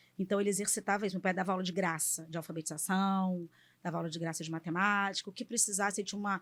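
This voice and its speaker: With a very clean recording and a silent background, a woman speaks at a very fast pace at medium pitch in a monotone, flat intonation. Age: 40s. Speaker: engineer and political aide. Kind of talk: podcast interview.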